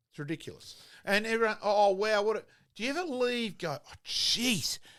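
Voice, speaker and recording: With an Australian accent and lively intonation, a man talks at a moderate pace in a high pitch, his loudness swinging widely, in a very clean recording with a silent background. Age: 60s. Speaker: former football umpire, sports pundit. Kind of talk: casual sports chat. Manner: animated.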